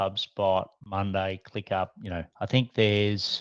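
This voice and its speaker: Over a quiet background, a man with an Australian accent talks at a fairly slow pace in a fairly low pitch, the sound dry and close with no echo. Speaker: business coach. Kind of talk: interview. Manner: casual, many fillers.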